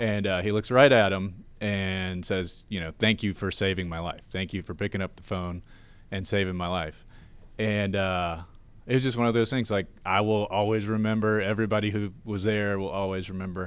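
A man's plain, everyday voice, fairly low in pitch, at a moderate pace with fairly even intonation, in a very clean recording against a silent background. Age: 30s. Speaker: nonprofit director, former banker. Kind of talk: interview. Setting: studio.

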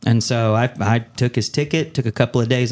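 Talking at a moderate pace, a man speaks with an American accent. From Central California. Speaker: business radio founder and host. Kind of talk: interview.

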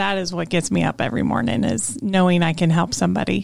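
With ordinary pitch variation, a woman talks at a fairly low pitch in an unremarkable speaking voice. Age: 50s. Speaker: life coach and community founder. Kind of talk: casual interview chat. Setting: radio studio.

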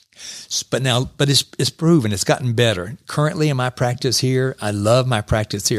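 In an unremarkable speaking voice, a man talks at a fairly quick pace with hardly any pauses, medium pitch and ordinary pitch variation, on a very clean recording with a silent background. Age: 60s. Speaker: chiropractor. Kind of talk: radio interview. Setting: studio.

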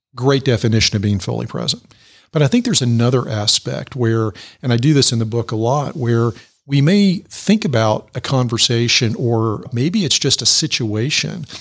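A man speaks at a medium pitch with ordinary pitch variation. His loudness stays very even and his pace is moderate. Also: very clean recording, silent background. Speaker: executive coach and author. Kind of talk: radio interview. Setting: studio. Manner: calm.

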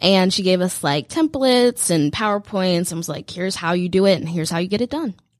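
With an ordinary speaking voice, a woman talks at a fairly quick pace and medium pitch, with lively intonation and hardly any pauses. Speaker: student entrepreneur. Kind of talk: interview. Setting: radio studio.

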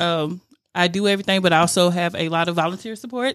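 With a Southern US accent, a woman speaks at medium pitch and fairly even intonation. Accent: Southern American. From Rome, Georgia, US South. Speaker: youth mentoring nonprofit founder. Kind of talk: radio interview. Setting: studio.

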